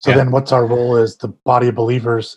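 A man speaks in a somewhat breathy voice. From California Bay Area. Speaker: punk musician and stage manager.

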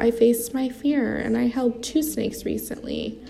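Noticeable background noise sits behind the voice. Its pace is moderate. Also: woman. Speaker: sobriety podcast host in recovery. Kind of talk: casual personal monologue. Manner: scattered, rambling delivery.

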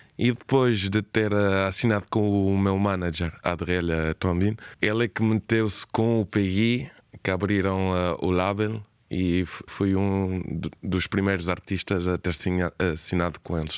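A man with a very deep, low pitch speaks at a very slow pace, with fairly even intonation and very even loudness, in a very clean recording with a silent background. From Spain, Cape Verdean family. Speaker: singer and songwriter. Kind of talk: radio interview.

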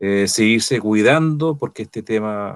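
A man delivers his words very slowly, recorded very cleanly against total silence. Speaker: co-host. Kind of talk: casual chat.

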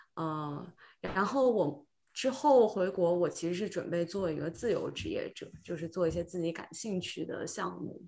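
Lively intonation marks a woman's fairly low, normal speaking voice at a moderate pace. The recording is very clean, with a silent background. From China, Shenzhen. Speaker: podcast guest, tech worker returning to China. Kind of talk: casual chat.

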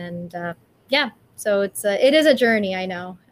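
A woman with an American accent and an ordinary speaking voice talks at a moderate pace and medium pitch. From California. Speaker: vegan animal rights activist. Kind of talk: interview.

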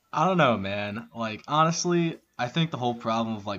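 A man uses an ordinary speaking voice, talking at a moderate speed with ordinary pitch variation. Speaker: guest. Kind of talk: casual chat. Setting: remote call.

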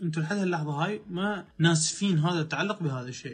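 A man with a high pitch at a moderate pace. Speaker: life coach. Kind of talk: motivational talk.

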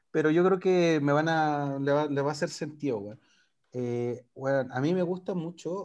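A man talks in a normal speaking voice. His pitch is fairly high, with ordinary pitch variation. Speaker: podcast co-host. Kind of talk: casual chat.

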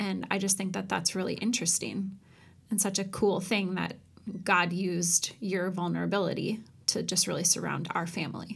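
A woman's medium-pitched voice with vocal fry, monotone and flat, at a moderate pace. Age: 30s. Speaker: podcast co-host. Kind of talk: casual chat.

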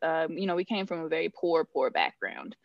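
A woman speaks at a fairly quick pace with a medium pitch and ordinary pitch variation. The sound is dry and close with no echo, over a quiet background. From Northern California. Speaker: financial planner. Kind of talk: podcast interview. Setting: remote call.

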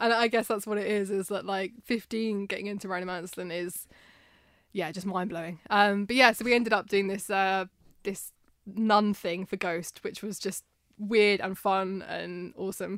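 On a very clean recording with a silent background, a woman speaks in a British accent with monotone, flat intonation. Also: medium pitch for a woman, moderate pace. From Britain. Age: 30s. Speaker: podcast host. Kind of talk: casual chat.

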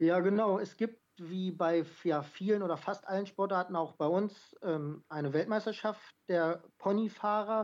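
A woman talks at a very slow pace with hardly any pauses, her pitch medium and her intonation fairly even. The background is quiet. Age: 20s. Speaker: carriage driving athlete and amateur footballer. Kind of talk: podcast interview. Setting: phone or remote call.

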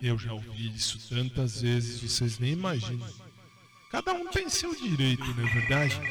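A man speaks at a medium pitch, with audible room echo and noticeable background noise. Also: moderate pace. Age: 40s. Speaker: radio host. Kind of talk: live radio show, casual chat. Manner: animated.

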